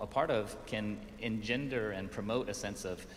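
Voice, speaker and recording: In a Colorado accent, a man speaks at a moderate pace and medium pitch with ordinary pitch variation, and audible echo fills the room. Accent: American, Colorado. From US, Colorado (Pueblo). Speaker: urban design consultant. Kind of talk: conference presentation. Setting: stage with audience, also streamed on Zoom.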